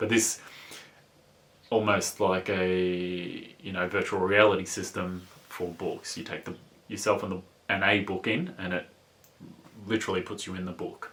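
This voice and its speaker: Long, frequent pauses break up speech in a strong Australian accent with monotone, flat intonation. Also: man, very deep, low pitch for a man, moderate pace. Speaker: book reviewer. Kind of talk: book review. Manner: halting, many fillers; casual.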